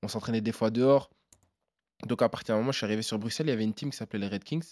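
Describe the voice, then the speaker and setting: Talking very fast in an animated tone at medium pitch, a man is heard in a very clean recording with a silent background, dry and close with no echo. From Belgium, Namur. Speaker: MMA fighter. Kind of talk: interview.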